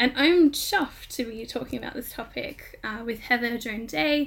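At a fairly slow pace, a high-pitched woman speaks with an Australian accent. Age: 20s. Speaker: podcast host and freelance writer. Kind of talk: panel discussion moderation. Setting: remote recording.

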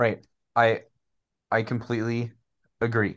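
A man with an American accent, at medium pitch and a moderate pace, over a quiet background. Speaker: sports podcast co-host and school teacher. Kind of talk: casual sports chat.

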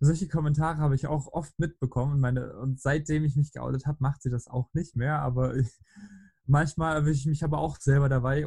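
Somewhat breathy and fairly quick, a man speaks at a fairly high pitch with a dark, mellow tone and fairly even intonation, sounding dry and close with no echo. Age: 20s. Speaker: podcast guest. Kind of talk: casual chat.

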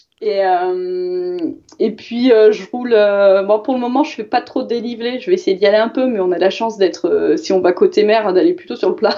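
A woman at a fairly high pitch and moderate pace, with lively intonation over noticeable background noise. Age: 30s. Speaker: cycling commuter, mother of two. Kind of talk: casual chat.

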